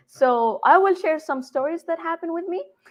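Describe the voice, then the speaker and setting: A woman speaks with an Arabic accent and a lively intonation. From Saudi Arabia, Jeddah. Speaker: game developer. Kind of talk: conference talk. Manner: halting.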